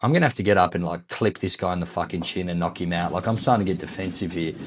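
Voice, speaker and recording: A man speaks with an Australian accent in a very clean recording with a silent background. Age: 30s. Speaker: gaming YouTuber. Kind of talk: let's play commentary with casual storytelling. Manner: casual, filler-heavy.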